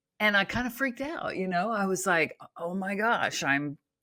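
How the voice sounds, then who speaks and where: In an American accent, a woman speaks at a medium pitch with a bright, sharp tone. The recording is very clean and the background silent. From Oklahoma. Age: 60s. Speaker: author and natural health coach. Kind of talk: interview conversation. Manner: casual, with frequent fillers.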